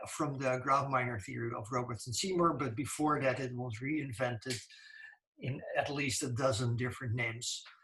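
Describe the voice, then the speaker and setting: In a room with audible echo, a man of medium pitch speaks at a moderate pace with fairly even intonation. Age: 60s. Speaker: computer science professor. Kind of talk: lecture. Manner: halting.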